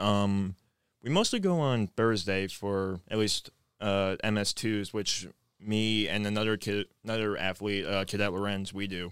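In a very clean recording with a silent background and a dry, close sound with no echo, a man with an American accent uses a normal speaking voice, fairly low in pitch, at a fairly slow pace with fairly even intonation. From Maryland, near Washington DC. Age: young. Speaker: college lacrosse player and ROTC cadet. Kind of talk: casual interview.

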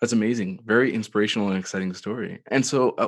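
A man's fairly low voice at a very fast pace, with fairly even intonation and a quiet background. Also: dry, close sound with no echo. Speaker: podcast host. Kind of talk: interview.

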